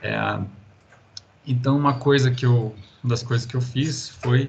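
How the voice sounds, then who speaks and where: The speaker has a São Paulo countryside accent and talks at a fairly slow pace. Room echo is audible. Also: man. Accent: caipira (São Paulo countryside) Portuguese. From interior of São Paulo state, Brazil. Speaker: university professor. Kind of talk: lecture. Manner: halting, many fillers.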